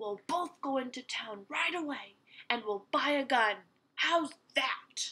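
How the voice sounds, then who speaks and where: A woman growls in a put-on character voice. Her pitch is high and her pace fairly slow. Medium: read story. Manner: bossy, snarling.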